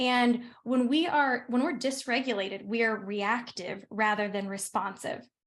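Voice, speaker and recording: A woman's fairly high voice, with hardly any pauses and very even loudness. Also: ordinary pitch variation. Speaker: workshop presenter on nervous system regulation. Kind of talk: online workshop presentation. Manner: fast.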